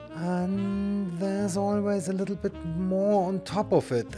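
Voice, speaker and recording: With music in the background, a man speaks very slowly in a German accent. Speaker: YouTube channel host. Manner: mocking, sarcastic commentary.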